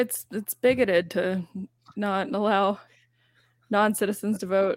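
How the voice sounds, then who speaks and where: A woman with an American accent at a medium pitch, fairly slow, with long, frequent pauses. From US South (Alabama). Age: 30s. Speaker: online commentator. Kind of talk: casual chat.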